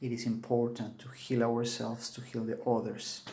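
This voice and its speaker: In a Peruvian accent, a man speaks at a medium pitch, with audible room echo. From Peru, Cusco. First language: Spanish. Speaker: Andean shaman. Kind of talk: spiritual video talk to camera.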